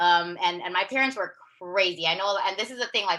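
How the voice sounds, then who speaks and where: Loud and bubbly, a woman with a Southern California accent talks in a bright, sharp, animated tone with ordinary pitch variation. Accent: Southern California American English. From US West Coast, Long Beach, California. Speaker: wellness coach. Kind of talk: personal story interview. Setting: video call.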